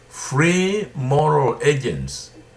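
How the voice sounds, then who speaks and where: A man speaks at medium pitch in a somewhat breathy voice. Audible room echo surrounds the recording. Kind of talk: sermon-style teaching. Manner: slow; deliberate.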